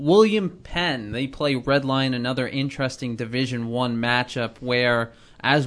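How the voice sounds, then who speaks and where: The speaker is a man with an ordinary speaking voice. He talks at a fairly slow pace with a medium pitch. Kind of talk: studio sports-talk panel show, not live play-by-play; analytical. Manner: fluent, upbeat host-style banter; steady, informative, lightly joking.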